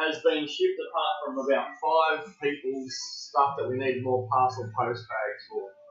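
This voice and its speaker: Faint music plays behind a man with audible room echo. He speaks at a fairly slow pace. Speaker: card break host. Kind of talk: casual livestream chat. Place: home room.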